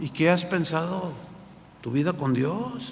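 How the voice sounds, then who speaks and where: Speaking fairly slowly with a high pitch and lively intonation, a man is recorded with audible room echo and noticeable background noise. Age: 60s. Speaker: pastor. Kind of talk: sermon. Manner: animated.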